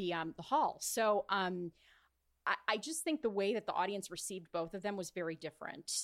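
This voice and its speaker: A woman with an ordinary speaking voice talks at medium pitch and a fairly quick pace with lively intonation. The recording is very clean, with a silent background and a dry, close sound with no echo. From California, Orange County. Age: 30s. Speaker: events and live broadcast producer. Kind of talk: casual interview.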